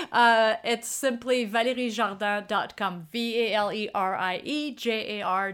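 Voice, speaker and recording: In a very clean recording with a silent background, a woman with a fairly high pitch and ordinary pitch variation talks at a fairly slow pace with hardly any pauses. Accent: French. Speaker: street photographer and workshop leader. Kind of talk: casual interview chat.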